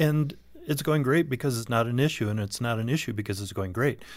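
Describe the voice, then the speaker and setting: A man with an unremarkable speaking voice talks at a medium pitch with lively intonation. The recording is very clean, with a silent background. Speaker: sex therapist. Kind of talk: radio interview.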